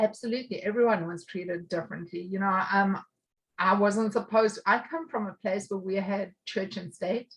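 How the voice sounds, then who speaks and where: Somewhat breathy, a woman with a South African accent talks at a moderate pace and a medium pitch, with ordinary pitch variation. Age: 50s. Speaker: recovering addict. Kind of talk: interview. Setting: podcast.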